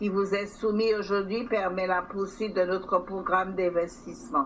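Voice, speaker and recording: A woman's voice carries audible room echo. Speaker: territorial council president. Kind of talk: formal council speech. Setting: council chamber session.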